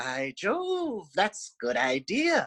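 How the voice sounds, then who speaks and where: A put-on character voice at a fairly high pitch. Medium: read story.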